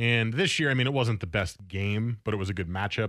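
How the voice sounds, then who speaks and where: Medium in pitch, a man has a normal speaking voice. The recording is very clean, with a silent background. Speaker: sports radio host. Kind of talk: casual chat. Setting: studio.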